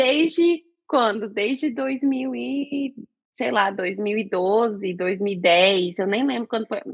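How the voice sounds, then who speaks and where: A woman at a medium pitch speaks very slowly, her pitch swinging very widely. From Brazil. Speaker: podcast co-host. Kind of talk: casual chat.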